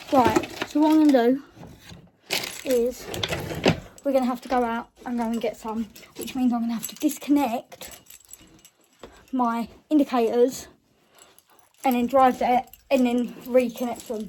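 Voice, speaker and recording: Speech in a British accent moves with long, frequent pauses, big swings in loudness and fairly even intonation. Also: woman, high pitch for a woman, moderate pace. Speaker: car vlogger. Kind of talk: casual vlog.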